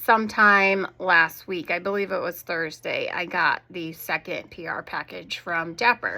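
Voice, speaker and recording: A woman speaks with a bright, sharp tone. She keeps a fairly slow pace. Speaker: fragrance reviewer. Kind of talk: product review. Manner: casual, chatty.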